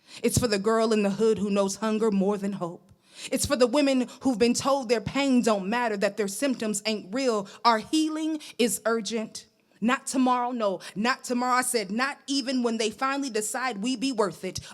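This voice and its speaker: A woman's plain, everyday voice, fairly high in pitch, with ordinary pitch variation, a moderate pace and an American accent. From New York. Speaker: poet. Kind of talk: spoken word poetry performance.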